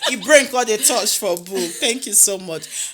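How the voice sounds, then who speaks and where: A woman with a Nigerian accent speaks at a fairly slow pace, her pitch fairly high and her intonation lively. Noticeable background noise runs underneath. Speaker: podcast host. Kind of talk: casual interview chat.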